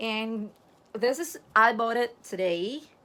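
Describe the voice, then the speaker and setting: In a Filipino accent, a woman talks in an animated tone at a high pitch with ordinary pitch variation. Her pace is fairly slow, and the recording is very clean with a silent background. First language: Tagalog. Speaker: vlogger. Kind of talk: casual vlog unboxing.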